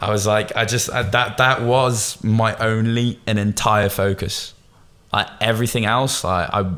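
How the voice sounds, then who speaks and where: A man with a Bristol accent speaks at a fairly low pitch in a very clean recording with a silent background. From Bristol, England. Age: 20s. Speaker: agency founder, entrepreneur. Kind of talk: podcast interview. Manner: casual, informal.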